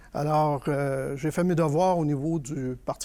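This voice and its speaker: This man's voice sits fairly high in pitch with a dark, mellow tone. He speaks at a moderate pace. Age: 60s. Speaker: political candidate. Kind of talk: panel discussion.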